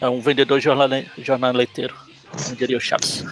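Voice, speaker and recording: Against noticeable background noise, a man talks at medium pitch with monotone, flat intonation. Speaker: comic book podcast host. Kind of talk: casual chat.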